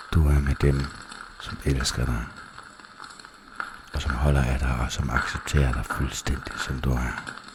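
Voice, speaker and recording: Whispering and soft-spoken, the voice moves at a very slow pace with long, frequent pauses over noticeable background noise. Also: man. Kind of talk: ASMR relaxation / sleep guidance. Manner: soft-spoken, whispered, slow.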